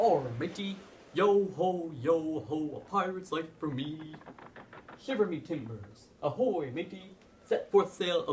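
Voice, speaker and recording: Fairly slow, high-pitched put-on character voice from a man. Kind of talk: exaggerated theatrical pirate speech.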